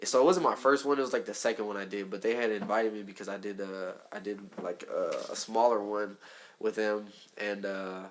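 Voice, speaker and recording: Over noticeable background noise, a man with a Southern California accent talks at a fairly quick pace and fairly low pitch. His intonation is fairly even, while his loudness swings a lot. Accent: Southern California urban English. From Southern California (Hawthorne). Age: 20s. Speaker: rapper. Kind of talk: casual chat.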